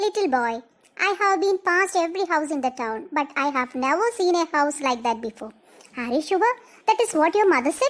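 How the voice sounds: A woman uses a cartoonish character voice at an extremely high pitch. Her pitch swings very widely at a moderate pace.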